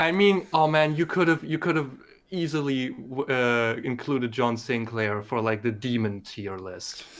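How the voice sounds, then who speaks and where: A medium-pitched man's voice in a German accent, lively in intonation, at a fairly slow pace. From Germany. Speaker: community member promoting his series. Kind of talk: casual chat. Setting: live stream. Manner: halting.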